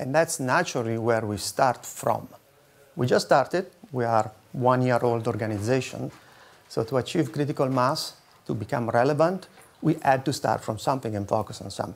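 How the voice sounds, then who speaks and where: A man with an Italian accent, at a fairly quick pace. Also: medium pitch for a man, ordinary pitch variation. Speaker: foundation security strategist. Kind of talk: conference presentation.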